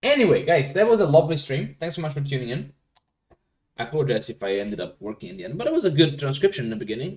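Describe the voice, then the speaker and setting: Very fast speech with very wide pitch swings and vocal fry. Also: man, fairly high pitch for a man, big swings in loudness. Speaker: live streamer teaching paleography. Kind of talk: casual live-stream chat. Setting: live stream.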